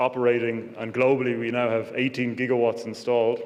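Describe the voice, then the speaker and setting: A man's medium-pitched voice amid audible room echo and noticeable background noise. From Ireland. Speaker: wind energy sales executive. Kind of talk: conference presentation. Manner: hesitant, many fillers.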